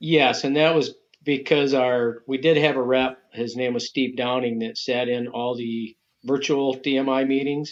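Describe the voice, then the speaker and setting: This man has an unremarkable speaking voice, talking at a fairly slow pace with fairly even intonation, a medium pitch and an American accent. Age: 60s. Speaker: bow hunting association president. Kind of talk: podcast interview.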